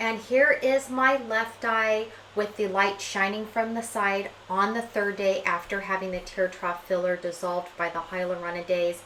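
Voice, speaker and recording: A medium-pitched woman's voice at a fairly slow pace, with ordinary pitch variation and audible room echo. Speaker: beauty vlogger. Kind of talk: personal vlog narration. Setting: home bathroom.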